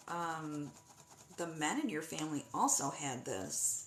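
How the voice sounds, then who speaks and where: Noticeable background noise runs through the clip. Audible room echo is also present. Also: woman. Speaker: psychic medium. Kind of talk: live-stream medium reading. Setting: live stream.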